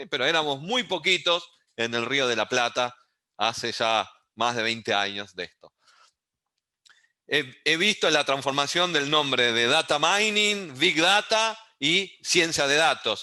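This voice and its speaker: A man's fairly high, bright, sharp voice at a fairly slow pace, with very wide pitch swings. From Uruguay. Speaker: university lecturer in data science. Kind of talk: online lecture.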